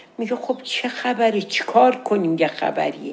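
Through noticeable background noise, a woman's voice moves in very wide pitch swings. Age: old. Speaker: storyteller. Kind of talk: storytelling. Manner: casual.

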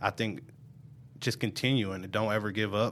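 A normal speaking voice from a man with an American accent, fairly low pitch, fairly even intonation and a moderate pace, on a very clean recording with a silent background. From Omaha, Nebraska (North Omaha). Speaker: juvenile probation officer. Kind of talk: interview, personal story. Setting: studio.

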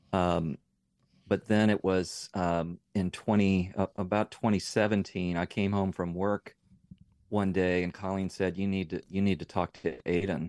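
Against a quiet background, a man speaks at a fairly slow pace in a very deep, low pitch with monotone, flat intonation, the sound dry and close with no echo. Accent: American. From Northern Virginia. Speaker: nonprofit CEO, parent. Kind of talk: radio interview. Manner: halting, repeats words.

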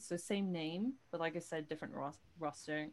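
With a British accent, a woman speaks at a moderate pace, her pitch fairly low and its variation ordinary. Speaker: podcast co-host. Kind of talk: casual chat.

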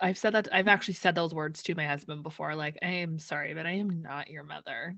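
With hardly any pauses, a woman of fairly low pitch talks at a fairly quick pace, her loudness swinging widely while her pitch varies in an ordinary way. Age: 30s. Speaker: podcast host. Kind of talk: casual chat. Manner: animated.

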